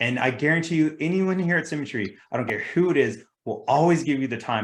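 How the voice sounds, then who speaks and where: With a Californian accent, a man talks at a very fast pace using ordinary pitch variation. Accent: California. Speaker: insurance sales agent and team leader. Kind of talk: motivational talk and Q&A on a team video call.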